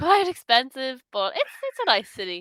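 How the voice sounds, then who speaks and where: On a very clean, dry, close recording with a silent background and no echo, a woman with an Irish accent speaks at a moderate pace in a bright, sharp tone. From Ireland, Dublin area. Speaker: online English tutor. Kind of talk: casual conversation lesson.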